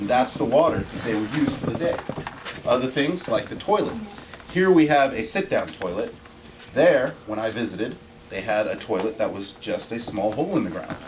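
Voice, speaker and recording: A man speaks with very wide pitch swings. Audible room echo and noticeable background noise fill the recording. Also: medium pitch for a man, moderate pace. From US, Indian family. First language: Tamil. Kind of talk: class presentation. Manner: halting.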